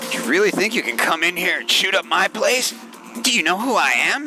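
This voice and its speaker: A man puts on a raspy, high-pitched character voice, swinging his pitch very widely at a fairly quick pace. Clear music plays in the background. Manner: manic, threatening.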